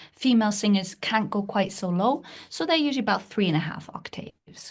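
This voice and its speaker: A somewhat breathy woman's voice, medium in pitch, with lively intonation, a moderate pace and a quiet background. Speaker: music professor and pansori performer. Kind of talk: academic lecture.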